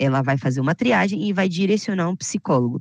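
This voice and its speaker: A woman with a fairly low pitch speaks in an animated tone with lively intonation. The sound is dry and close with no echo, over a quiet background. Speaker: health insurance sales trainer. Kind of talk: online sales training.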